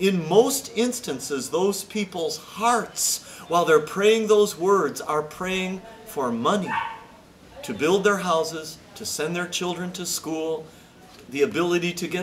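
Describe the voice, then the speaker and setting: Light background noise sits behind a man with a high pitch. He speaks at a fairly slow pace. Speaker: pastor. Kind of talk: sermon. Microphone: camera far.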